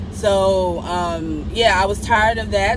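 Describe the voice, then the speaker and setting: Noticeable background noise can be heard. The room echo is audible too. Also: woman. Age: 20s. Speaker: podcast guest, host's sister. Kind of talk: casual chat. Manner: animated.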